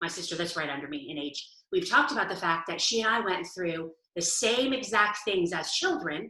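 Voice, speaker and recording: Her medium pitch shows ordinary variation as a woman talks at a fairly quick pace. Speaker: essential oils presenter. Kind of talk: webinar presentation. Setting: video call. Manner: fast.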